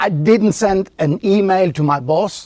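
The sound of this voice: Fairly slow and high-pitched, a man speaks in a dark, mellow tone with ordinary pitch variation.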